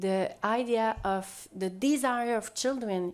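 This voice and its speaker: Here a woman speaks with a Quebec French accent. Her pitch is fairly high, with ordinary variation. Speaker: sociologist. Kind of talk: panel discussion. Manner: halting.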